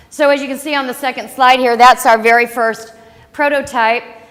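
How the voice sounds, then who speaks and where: A woman's high voice with an American accent, fairly quick and fairly even in intonation, over noticeable background noise. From St. Louis, Missouri, US Midwest. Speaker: startup founder. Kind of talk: business pitch presentation. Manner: loud.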